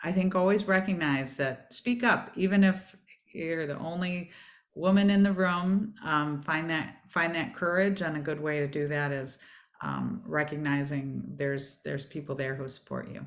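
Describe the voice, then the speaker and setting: This woman has a Michigan accent and a very deep, low pitch. She speaks at a fairly slow pace with ordinary pitch variation. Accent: Michigan twang. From US Midwest, Michigan. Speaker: former space agency executive and author. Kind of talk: online panel conversation.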